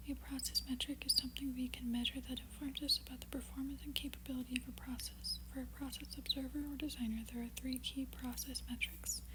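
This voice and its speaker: A woman whispers softly at a fairly quick pace. Noticeable background noise runs underneath. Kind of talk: ASMR reading. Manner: soft-spoken, whispered.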